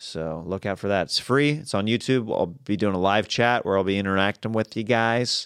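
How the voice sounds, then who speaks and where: A man speaks at a moderate pace in an unremarkable speaking voice. The recording is very clean, with a silent background. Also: fairly low pitch for a man, ordinary pitch variation. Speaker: comedian and podcaster. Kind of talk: casual chat.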